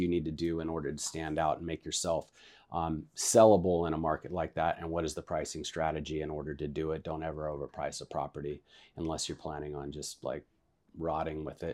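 A man with an American accent speaks at a very deep, low pitch and a fairly quick pace, in a dark, mellow tone. The recording is very clean, with a silent background. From northern California, Vacaville. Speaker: real estate agent. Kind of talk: casual interview.

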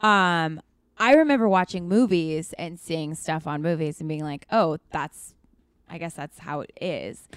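A woman with an unremarkable speaking voice and an American accent talks at a fairly slow pace and fairly low pitch, with ordinary pitch variation and big swings in loudness, in a very clean, dry, close recording with a silent background and no echo. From US Pacific Northwest, Seattle. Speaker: actor and writer. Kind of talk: casual interview chat.

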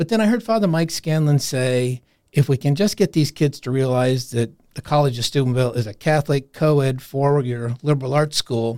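This man has an ordinary speaking voice and an American accent, and he talks at a fairly quick pace. The sound is dry and close, with no echo. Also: fairly high pitch for a man, ordinary pitch variation, very clean recording, silent background. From Iowa, US Midwest. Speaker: university career services director. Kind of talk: interview. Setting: studio.

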